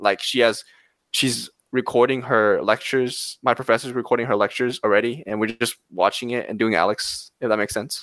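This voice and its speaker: A man with an unremarkable speaking voice talks at a fairly quick pace and a medium pitch, his intonation fairly even, on a very clean recording with a silent background. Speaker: community college student. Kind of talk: casual interview chat.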